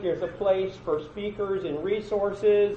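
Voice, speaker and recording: A man speaks in a high pitch, with noticeable background noise behind him. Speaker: conference presenter. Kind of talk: conference breakout session talk. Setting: conference room with audience. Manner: loud.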